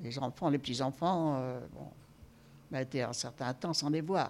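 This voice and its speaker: Her pitch moves up and down as usual. The voice belongs to a woman. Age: 80s+. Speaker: nursing home resident. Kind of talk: interview testimony.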